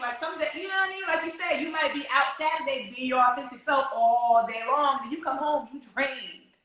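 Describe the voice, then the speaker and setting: Her voice raised and projected, a woman with a bright, sharp tone and lively intonation speaks at a moderate pace amid audible room echo. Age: 30s. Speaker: podcast host. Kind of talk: casual chat. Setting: video recording.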